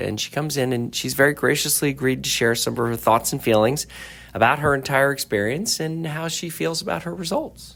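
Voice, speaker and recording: Fairly quick and fairly high-pitched, a man talks in an unremarkable speaking voice. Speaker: plastic surgeon, interviewer. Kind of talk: podcast interview host.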